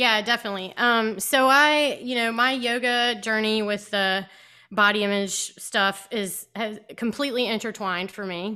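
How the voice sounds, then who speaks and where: On a very clean recording with a silent background, a woman speaks in a fairly high pitch with a bright, sharp tone and fairly even intonation. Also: moderate pace. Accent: American. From US South (South Georgia, then Virginia Beach). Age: 30s. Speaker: yoga teacher. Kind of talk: casual interview.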